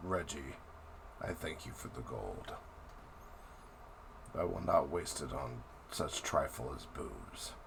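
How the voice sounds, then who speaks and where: A man puts on a guttural, raspy character voice, speaking at a fairly slow pace over loud background noise. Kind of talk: archaic, formal.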